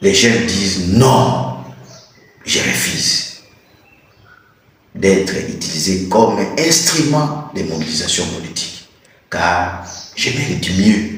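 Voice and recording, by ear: At a slow pace and with strong room echo, a man speaks in a low pitch with a fairly bright tone and lively intonation.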